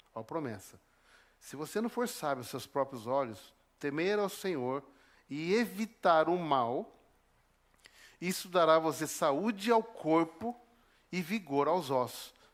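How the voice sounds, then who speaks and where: A man's fairly high voice with very wide pitch swings, in a Paraná accent, at a fairly slow pace with long, frequent pauses, on a very clean recording with a silent background. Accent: Brazilian Portuguese, Paraná. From southern Brazil, northern Paraná (Apucarana). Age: 50s. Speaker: preacher. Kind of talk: sermon.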